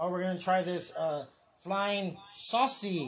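Here a man speaks with an American accent. His pace is fairly slow, with ordinary pitch variation. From San Antonio, Texas. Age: 30s. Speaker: podcast host. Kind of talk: casual chat. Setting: livestream on Facebook and YouTube.

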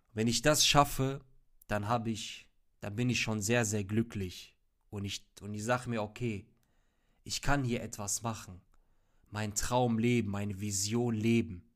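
Pausing long and often, a man at a medium pitch talks at a fairly slow pace with fairly even intonation in a very clean recording with a silent background. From Ruhr area, Germany (Hagen). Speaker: podcast host. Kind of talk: solo monologue.

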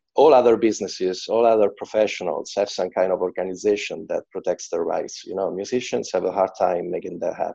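Speaking at a fairly quick pace with an Italian accent, a man is heard against a quiet background. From central Italy, Macerata. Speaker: drummer and music teacher. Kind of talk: casual interview. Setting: video call. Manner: halting, with hesitations.

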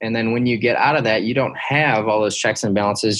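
The speaker is a man with a Midwestern American accent and a medium-pitched voice. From US Midwest, Detroit, Michigan. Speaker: former Navy SEAL, veterans charity founder. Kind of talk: interview.

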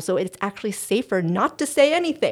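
A woman's plain, everyday voice, with lively intonation and a fairly quick pace. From raised in US and Taiwan. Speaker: intercultural coach. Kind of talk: casual interview.

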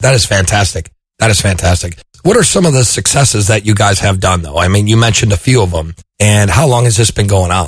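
A man talks at a very fast pace in a fairly low, somewhat breathy voice. His loudness stays very even and his pitch variation is ordinary. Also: very clean recording, silent background. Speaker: podcast host. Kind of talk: casual interview.

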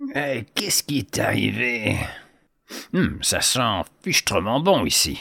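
Putting on a character voice, a man at a medium pitch speaks at a fairly slow pace with long, frequent pauses.

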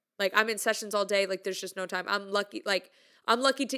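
A woman with a medium pitch speaks in a bright, sharp, upbeat tone on a very clean recording with a silent background. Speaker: music content creator. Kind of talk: casual monologue. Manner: casual, upbeat, chatty.

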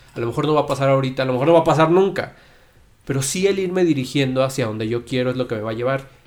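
Talking at a very fast pace, a man uses a medium-pitched voice with ordinary pitch variation. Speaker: podcast co-host. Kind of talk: casual chat.

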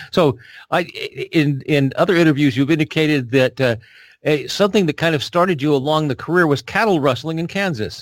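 A man with an unremarkable speaking voice and a fairly high pitch talks at a fairly quick pace with ordinary pitch variation, in a very clean recording with a silent background. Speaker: radio interviewer and book specialist. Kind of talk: interview.

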